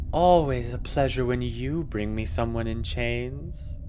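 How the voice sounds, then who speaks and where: A man uses a put-on character voice with a very deep, low pitch and speaks softly. His pace is fairly slow, and clear background noise can be heard. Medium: read story. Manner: languid, sensual.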